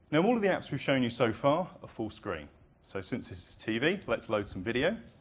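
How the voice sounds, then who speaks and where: A man with a British accent at a medium pitch and fairly quick pace, with very wide pitch swings and big swings in loudness. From Britain. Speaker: product presenter. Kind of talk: live product demo presentation.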